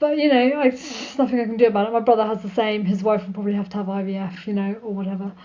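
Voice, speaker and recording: Talking very fast with hardly any pauses, a woman uses a fairly high pitch and ordinary pitch variation. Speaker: video blogger. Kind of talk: casual vlog talk. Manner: sometimes mumbles.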